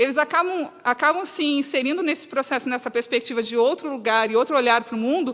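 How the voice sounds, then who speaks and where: Animated in tone, a woman talks at a very fast pace with hardly any pauses, her high pitch showing ordinary pitch variation. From southern Brazil (Rio Grande do Sul). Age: 40s. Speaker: lecturer on solidarity economy. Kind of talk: lecture.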